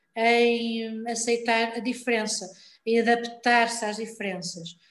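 Audible room echo hangs around this voice. A woman talks at a fairly high pitch. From Portugal, born in Lisbon. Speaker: health worker. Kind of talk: casual interview. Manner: repetitive, halting.

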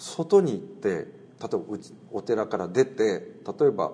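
The voice moves at a fairly slow pace with vocal fry. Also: man. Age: 30s. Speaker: Buddhist priest. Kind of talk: casual interview.

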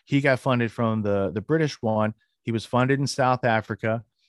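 In a dry, close sound with no echo, a man with an American accent uses an ordinary speaking voice at medium pitch, with fairly even intonation and a moderate pace. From Western Pennsylvania. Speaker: podcaster and researcher. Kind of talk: interview.

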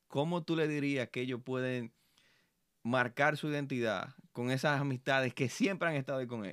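Speaking in an ordinary speaking voice at medium pitch, a man keeps a moderate pace and ordinary pitch variation in a dry, close recording with no echo. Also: very clean recording, silent background. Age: 20s. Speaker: podcast host. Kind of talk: casual chat.

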